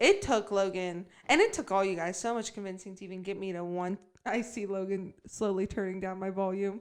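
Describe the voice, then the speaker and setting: A woman with a medium pitch talks loudly at a fairly quick pace. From US Midwest. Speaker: podcast co-host. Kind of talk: casual chat. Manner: animated.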